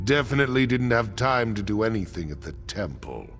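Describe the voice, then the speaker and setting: A man puts on a character voice, pitched fairly low, speaking at a moderate pace over clear background music. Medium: video game. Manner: taunting, defiant.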